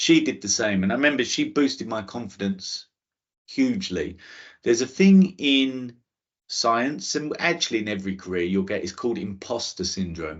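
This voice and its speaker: A man talks in a strong London accent at a medium pitch and moderate pace. His pitch swings very widely. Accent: thick London. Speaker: space scientist giving a careers talk. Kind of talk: talk to school students. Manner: hesitant, with repetitions and restarts.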